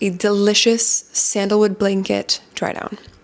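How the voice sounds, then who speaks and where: Amid noticeable background noise, a woman with a Canadian accent and a medium pitch speaks at a moderate pace. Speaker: fragrance content creator. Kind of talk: informational vlog talk. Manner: casual, conversational.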